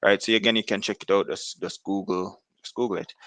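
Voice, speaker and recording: A man's fairly low-pitched voice, dry and close with no echo, over a quiet background. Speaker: religious commentator. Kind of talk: religious commentary. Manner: fast; halting, many fillers.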